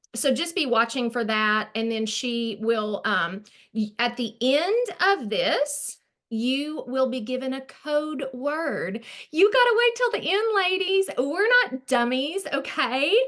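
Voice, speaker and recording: A woman with a strong Arkansas accent speaks very slowly at a high pitch with very wide pitch swings. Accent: thick Arkansas Southern. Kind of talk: online group presentation. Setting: video call. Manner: casual, chatty with fillers.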